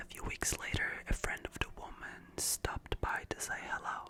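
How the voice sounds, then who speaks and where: Whispering at a moderate pace, with noticeable background noise. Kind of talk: ASMR scary story reading. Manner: soft, relaxing.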